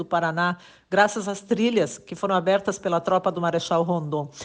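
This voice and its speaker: A woman talks at a moderate pace in a medium pitch. She has an unremarkable speaking voice. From Rio Grande do Sul, Brazil. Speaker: journalist. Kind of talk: political commentary monologue. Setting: WhatsApp voice message.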